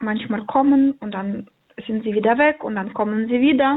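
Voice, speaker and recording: This woman has an unremarkable speaking voice, pitched fairly high and delivered at a fairly slow pace with fairly even intonation. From central Ukraine (Poltava region, Kremenchuk). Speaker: volunteer aid organizer. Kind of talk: phone interview. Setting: phone call.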